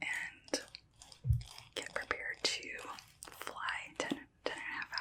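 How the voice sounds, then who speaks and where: A very slow whisper broken by long, frequent pauses, amid noticeable background noise. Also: woman. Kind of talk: casual talk to camera, show and tell. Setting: close microphone, ASMR recording. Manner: whispered, soft-spoken.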